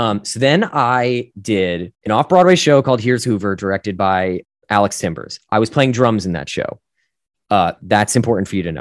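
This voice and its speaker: In an American accent, a man with an unremarkable speaking voice and fairly low pitch speaks at a moderate pace with lively intonation, the sound dry and close with no echo on a very clean recording with a silent background. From US Northeast, northern New Jersey. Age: 30s. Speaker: actor and musician. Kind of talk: casual interview.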